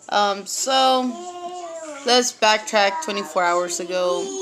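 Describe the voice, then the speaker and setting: Over noticeable background noise, a woman with an American accent talks at a fairly slow pace, with a medium pitch and ordinary pitch variation. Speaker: vlogger. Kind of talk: personal testimony. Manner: halting, many fillers.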